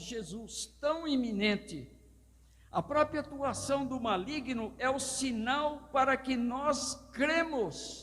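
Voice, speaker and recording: With an extremely high pitch and ordinary pitch variation, a man speaks at a very slow pace. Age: 70s. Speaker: pastor. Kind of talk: sermon.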